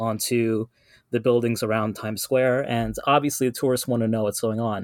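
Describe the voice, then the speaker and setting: A man speaks at a moderate pace with fairly even intonation in a plain, everyday voice. The sound is dry and close, with no echo. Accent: American. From New York City, Guyanese community. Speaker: activist, vigil attendee. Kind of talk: casual chat.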